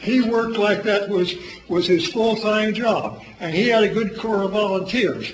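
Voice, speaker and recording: Amid noticeable background noise and audible room echo, a man with a high pitch speaks at a moderate pace with fairly even intonation. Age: 80s+. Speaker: public commenter at city council meeting. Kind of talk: public comment at council meeting. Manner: loud, intense; halting, repetitive.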